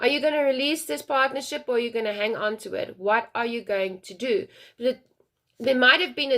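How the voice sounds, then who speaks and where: A woman with a high pitch sounds animated, her intonation lively, in a very clean recording with a silent background. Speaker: tarot reader. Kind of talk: tarot reading. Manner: fast.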